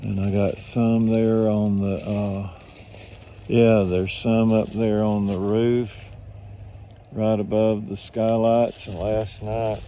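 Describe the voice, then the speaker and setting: Speaking very slowly in an American accent, a man uses a fairly low pitch and a dark, mellow tone with monotone, flat intonation, and audible room echo surrounds him. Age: 70s. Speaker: video blogger. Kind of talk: casual vlog narration. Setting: outdoors.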